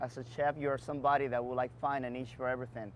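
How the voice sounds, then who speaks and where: A man with a Dominican accent at a fairly quick pace. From Dominican Republic. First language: Spanish. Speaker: bar and beverage entrepreneur. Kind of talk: interview Q&A.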